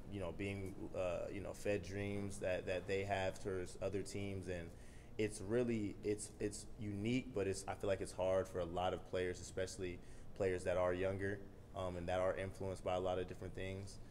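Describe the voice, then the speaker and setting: A man speaks in a very deep, low voice with monotone, flat intonation. Light background noise sits behind him. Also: moderate pace. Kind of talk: interview answer. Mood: calm, reflective. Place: meeting room. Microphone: podium.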